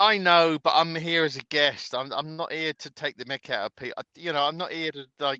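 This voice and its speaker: A man with a British accent talks fairly quickly with hardly any pauses, his fairly high voice bright and sharp, his pitch variation ordinary and his loudness swinging widely, in a dry, close sound with no echo. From Britain. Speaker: truck driver. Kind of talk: casual chat.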